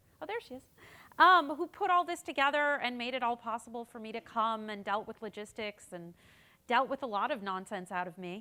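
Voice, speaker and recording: Fairly quick and bright, sharp in tone, a woman with an American accent speaks with very wide pitch swings and big swings in loudness on a very clean recording with a silent background. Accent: American accent noticeable to local audience. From United States. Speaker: political communications consultant. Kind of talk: keynote speech. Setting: conference stage with audience.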